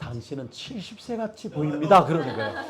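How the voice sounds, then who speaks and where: A man talks at a moderate pace. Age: 60s. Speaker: pastor. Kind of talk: sermon. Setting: church.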